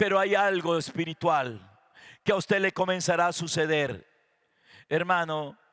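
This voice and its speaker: On a very clean recording, a man's voice sits against total background silence. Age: 60s. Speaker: pastor. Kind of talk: sermon.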